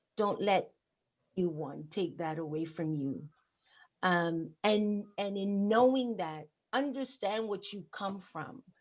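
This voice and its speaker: Speaking very slowly, a woman uses lively intonation at a medium pitch. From Panama. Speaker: activist and nonprofit founder. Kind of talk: panel discussion. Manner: impassioned.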